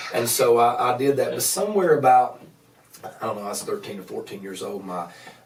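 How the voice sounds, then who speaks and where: Noticeable background noise and audible room echo around a man in an Appalachian accent, medium pitch, very wide pitch swings, big swings in loudness and a fairly quick pace. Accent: Appalachian Southern US. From US Appalachia, Grundy, Virginia. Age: 30s. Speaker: evangelist. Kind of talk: podcast interview testimony. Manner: halting, many repeated words.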